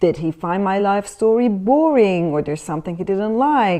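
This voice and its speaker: This woman's tone is dark and mellow. Her intonation is lively. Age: 40s. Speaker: dating coach. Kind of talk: vlog advice talk. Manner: conversational.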